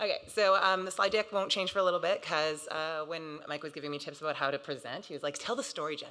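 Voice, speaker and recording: Noticeable background noise sits behind a woman with a fairly low pitch. She speaks at a very fast pace with ordinary pitch variation. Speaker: associate director at a transfer council. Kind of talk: conference presentation.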